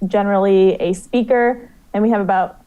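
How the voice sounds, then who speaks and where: A woman with an American accent, dark and mellow in tone, her intonation fairly even. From US South, South Carolina (Myrtle Beach). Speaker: student activist. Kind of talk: radio interview.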